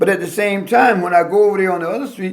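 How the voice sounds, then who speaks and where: This man has a high pitch. Audible room echo surrounds his voice. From US South, Alabama. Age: 60s. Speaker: pastor and civil rights activist. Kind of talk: oral history interview. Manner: animated.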